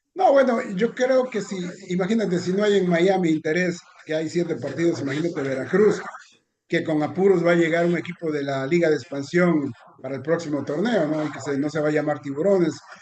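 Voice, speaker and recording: Here a man talks at a fairly quick pace, his pitch high with ordinary pitch variation. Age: 60s. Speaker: sports journalist. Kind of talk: casual chat. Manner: halting.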